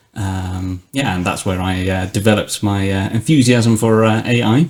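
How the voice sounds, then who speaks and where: In a British accent, a man speaks at a fairly low pitch with ordinary pitch variation and a moderate pace. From Britain. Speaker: technology executive. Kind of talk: podcast interview.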